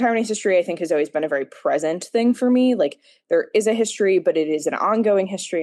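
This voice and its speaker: Lively in intonation and very fast in pace, the speaker has an American accent against a quiet background. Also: woman. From United States. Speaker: former museum docent. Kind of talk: interview answer. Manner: many fillers, um and like.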